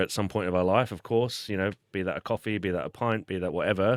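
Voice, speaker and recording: In a very clean recording with a silent background and a dry, close sound with no echo, a man with an Australian accent speaks very fast at a fairly low pitch with ordinary pitch variation. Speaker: podcast host. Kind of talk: casual chat. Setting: studio.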